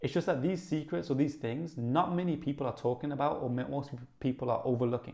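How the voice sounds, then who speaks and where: Someone with a Brummie accent talks at a very fast pace. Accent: Brummie (Birmingham). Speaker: YouTuber. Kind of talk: casual, conversational. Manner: fast talker, excited.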